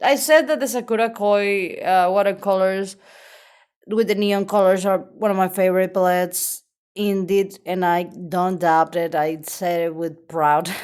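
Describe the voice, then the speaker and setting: Fairly slow speech in a Venezuelan accent with ordinary pitch variation, in a very clean recording against a silent background. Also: woman, medium pitch for a woman. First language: Spanish. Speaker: artist. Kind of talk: casual sketchbook tour.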